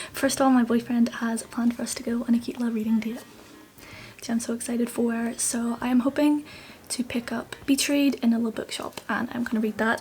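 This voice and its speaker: A woman's high-pitched voice in a Northern Irish accent at a fairly quick pace, with music in the background. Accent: mild Northern Irish. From Northern Ireland. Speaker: book vlogger. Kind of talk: casual vlog. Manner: animated.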